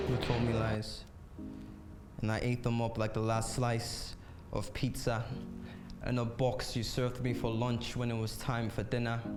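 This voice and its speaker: Over background music, a man talks fairly slowly at a medium pitch, in monotone, flat intonation with very even loudness. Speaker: spoken word poet. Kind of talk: spoken word poetry performance.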